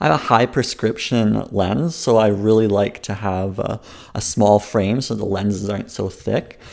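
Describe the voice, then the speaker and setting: A normal speaking voice with ordinary pitch variation moves at a fairly slow pace on a very clean recording with a silent background. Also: man. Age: 20s. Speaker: comedian. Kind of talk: comedy sketch interview.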